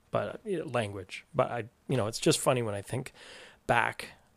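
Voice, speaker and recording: A man with a Canadian accent, medium pitch and vocal fry at a fairly quick pace, in a very clean recording with a silent background. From Canada, Toronto. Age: 40s. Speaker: podcast producer and co-host. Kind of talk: casual chat.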